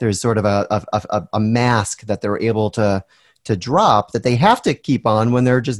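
In an American accent, a man with a fairly low pitch speaks at a moderate pace with fairly even intonation, the sound dry and close with no echo on a very clean recording with a silent background. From US Northeast. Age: 40s. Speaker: podcast host. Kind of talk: casual interview.

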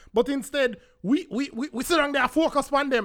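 A man projects his raised voice at an extremely high pitch. His tone is bright and sharp, on a very clean recording with a silent background. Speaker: podcast host. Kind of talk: angry rant, unscripted solo monologue.

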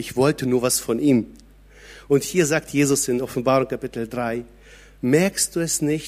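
On a very clean recording with a silent background, a man of medium pitch speaks at a fairly slow pace with ordinary pitch variation. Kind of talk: sermon. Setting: church. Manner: animated; conversational, direct address to audience.

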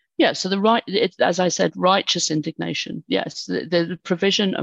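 A woman speaks with a British accent. The sound is dry and close, with no echo. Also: quiet background. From United Kingdom. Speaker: university dean and climate policy expert. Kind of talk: interview conversation.

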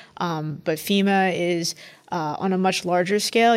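This woman has a plain, everyday voice, pitched fairly low, and her intonation is fairly even. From New York City. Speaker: federal emergency management administrator. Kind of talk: panel interview.

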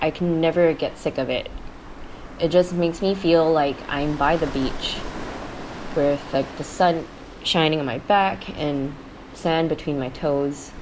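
Through noticeable background noise, a woman talks at a fairly slow pace with long, frequent pauses. Her voice is very deep and low, with fairly even intonation. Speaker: interviewee sharing thoughts. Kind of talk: casual chat.

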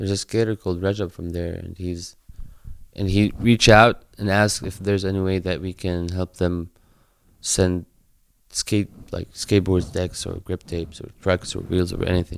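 In an Arabic accent, a man speaks with a very deep, low pitch. His intonation is monotone and flat, at a moderate pace. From Palestine, West Bank. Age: 20s. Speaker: skate charity local coordinator. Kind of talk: interview.

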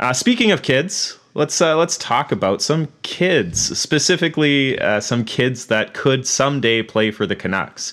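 In an ordinary speaking voice, a man with a fairly high pitch uses lively intonation at a fairly slow pace, with hardly any pauses and very even loudness. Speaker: podcast host. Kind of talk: casual podcast interview.

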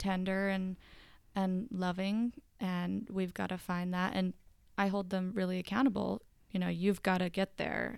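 A woman with an American accent uses an ordinary speaking voice at medium pitch and a moderate pace, with fairly even intonation, on a very clean recording with a silent background. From US South, Georgia. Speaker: marriage and family therapist. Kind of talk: interview.

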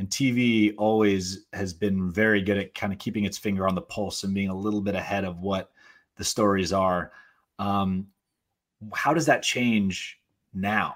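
A man speaks in a normal speaking voice, fairly low in pitch, at a moderate pace. His intonation stays fairly even, and the recording is very clean with a silent background. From Portland, Oregon. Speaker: actor and filmmaker. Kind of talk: casual interview.

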